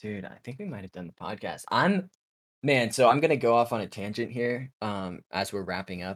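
A man with a normal speaking voice, medium in pitch, lively in intonation, with big swings in loudness at a moderate pace, on a very clean recording with a silent background. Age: 20s. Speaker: podcast host. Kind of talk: casual chat.

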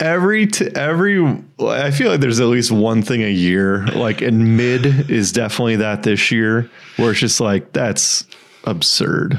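A man with an unremarkable speaking voice talks with lively intonation and very even loudness. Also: medium pitch for a man, moderate pace. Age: 30s. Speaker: fantasy football podcast co-host. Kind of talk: casual chat.

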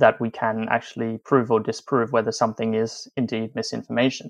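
This man has an Australian accent and a medium pitch. He talks at a fairly quick pace. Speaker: journalist. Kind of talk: interview.

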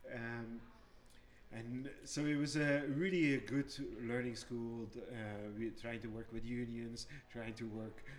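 A man with a Flemish accent speaks at medium pitch and a very slow pace. His intonation is fairly even, and the room echo is audible. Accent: Belgian (Flemish). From Belgium. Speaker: brewer, brewery owner. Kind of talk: casual chat. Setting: brewery barrel cellar.

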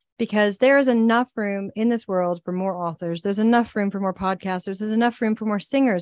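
The sound is dry and close with no echo, as a woman speaks at a medium pitch with a Southern US accent. She moves at a fairly quick pace with fairly even intonation. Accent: Southern US, slips out at times. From US South. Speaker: podcast host and executive coach. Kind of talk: casual interview chat.

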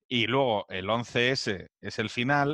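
A man's bright, sharp voice, dry and close with no echo, over a quiet background. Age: 40s. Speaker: podcast host. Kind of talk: casual chat.

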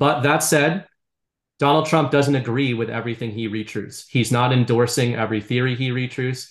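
A man with a normal speaking voice and an American accent talks at a moderate pace in a medium pitch with fairly even intonation. The background is quiet. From US Northeast, Boston area. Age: 30s. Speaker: writer and content creator. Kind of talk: casual chat.

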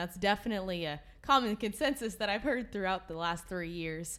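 With an American accent and a plain, everyday voice, a woman speaks at a moderate pace with lively intonation. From Northern California. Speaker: retiring youth livestock association director. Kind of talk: casual interview.

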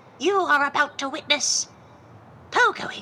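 A woman with lively intonation against clear background noise. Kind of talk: comic improvised radio-play acting. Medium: audio drama.

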